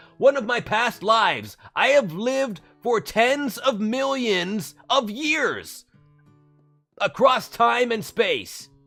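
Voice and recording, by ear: A put-on character voice, robotic and fairly high in pitch, moves at a very slow pace over faint music in the background.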